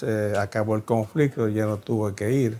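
A man at a fairly slow pace, with monotone, flat intonation. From Puerto Rico. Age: 80s+. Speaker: ophthalmologist. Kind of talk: interview monologue. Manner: halting, many fillers. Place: office. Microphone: lapel.

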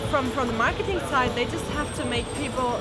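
A woman talks at a fairly quick pace over loud background music. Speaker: interviewee. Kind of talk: interview answer. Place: street.

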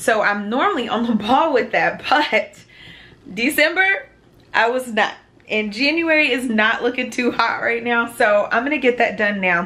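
Her voice is high and her intonation lively. The woman keeps a moderate pace. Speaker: vlogger. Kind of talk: casual vlog chat. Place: home room. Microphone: phone near.

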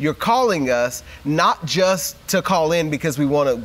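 Intonation rises and falls in a lively way as a man speaks. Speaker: associate pastor. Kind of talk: enthusiastic on-air address. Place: office. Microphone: lapel.

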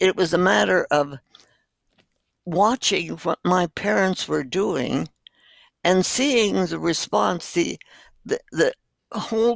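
Very slow and fairly low-pitched, a woman speaks with vocal fry and very wide pitch swings on a very clean, dry and close recording with a silent background and no echo. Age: 80s+. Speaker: doctor. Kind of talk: interview answer.

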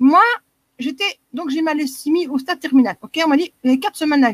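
In a Belgian accent, a woman speaks at a fairly quick pace with a dry, close sound and no echo.

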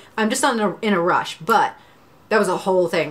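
A woman's voice with ordinary pitch variation. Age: 20s. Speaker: YouTuber sharing art self-improvement plans. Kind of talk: casual vlog monologue. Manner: casual, filler-heavy. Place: home room.

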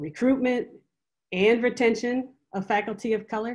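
A woman's fairly high-pitched voice comes through with little sound behind it. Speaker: professor and department chair; professor. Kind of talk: panel discussion. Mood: earnest, measured. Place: home room. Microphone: video call.

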